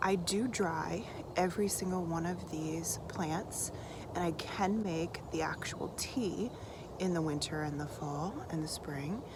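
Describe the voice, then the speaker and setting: A woman talks at a fairly slow pace in a relaxed, calm tone, her pitch fairly low. Audible room echo and noticeable background noise surround her. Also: ordinary pitch variation. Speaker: homesteader and online course teacher. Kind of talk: casual vlog talk to camera. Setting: outdoors in the garden.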